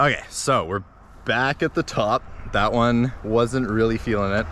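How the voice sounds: A man talks at a fairly slow pace. His tone is fairly bright.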